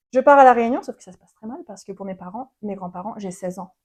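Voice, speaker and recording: The woman keeps a fairly quick pace. She uses ordinary pitch variation. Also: quiet background. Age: 20s. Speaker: podcast guest. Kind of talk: interview, personal story. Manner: fast.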